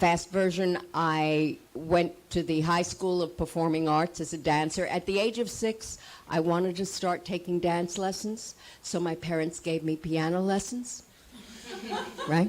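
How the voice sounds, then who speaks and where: Fairly slowly and with fairly even intonation, a woman speaks in a New York accent. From US, New York City (Manhattan). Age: 80s+. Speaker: actress. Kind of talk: panel talk.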